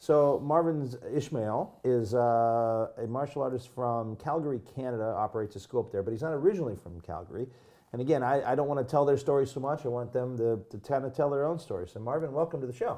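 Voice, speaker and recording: With an American accent and a dark, mellow tone, a man talks very fast with hardly any pauses, at medium pitch with ordinary variation. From US Midwest. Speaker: podcast host. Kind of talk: interview.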